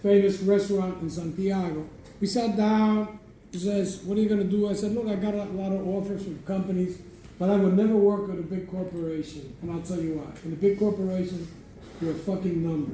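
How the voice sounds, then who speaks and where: Fairly quick speech with audible room echo. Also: man. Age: 70s. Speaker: cigar industry veteran, master blender. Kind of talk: storytelling talk at a live event. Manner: animated.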